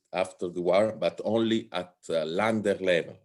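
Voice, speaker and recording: A man talks at a fairly slow pace. He has a strong Italian accent. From Italy. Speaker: political science professor. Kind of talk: lecture. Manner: halting, many fillers.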